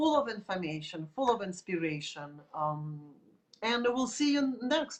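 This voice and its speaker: At a moderate pace, a woman speaks with a Russian accent. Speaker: art teacher. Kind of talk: tutorial. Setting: live video stream.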